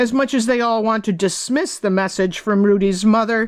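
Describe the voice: Someone reads the text aloud plainly.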